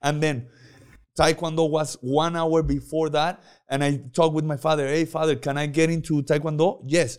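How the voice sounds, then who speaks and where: Spanish accent at a moderate pace, in a very clean recording with a silent background. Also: man. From Mexico, Puerto Vallarta. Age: 20s. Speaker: MMA fighter. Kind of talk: casual chat. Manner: halting.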